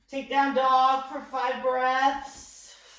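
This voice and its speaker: Loud speech at a very slow pace, with audible room echo. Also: woman. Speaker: fitness and yoga instructor. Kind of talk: guided workout class.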